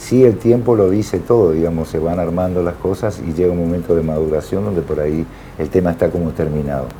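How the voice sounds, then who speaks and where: A man speaks with a very deep, low pitch over noticeable background noise. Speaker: musician. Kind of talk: TV interview.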